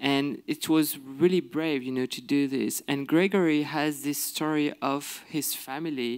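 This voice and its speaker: In a quiet background, a man with a French accent talks at a fairly slow pace. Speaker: filmmaker guest. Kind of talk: interview answer. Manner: halting. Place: stage. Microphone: handheld.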